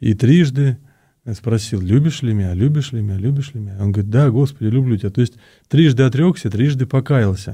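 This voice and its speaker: Here a man talks at a medium pitch. His voice is somewhat breathy. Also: ordinary pitch variation. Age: 50s. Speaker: Orthodox priest. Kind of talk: radio interview. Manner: halting, many fillers.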